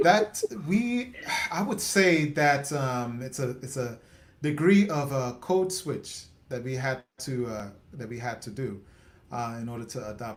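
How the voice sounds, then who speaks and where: A man with an American accent speaks at a medium pitch and a fairly slow pace. His intonation is lively, with big swings in loudness. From West Indies. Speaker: interview host. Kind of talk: casual interview chat.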